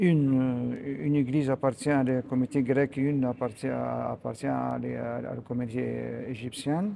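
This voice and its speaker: A man with an Arabic accent. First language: Arabic (speaking French). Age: 60s. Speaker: priest. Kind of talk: interview. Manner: halting, many hesitations.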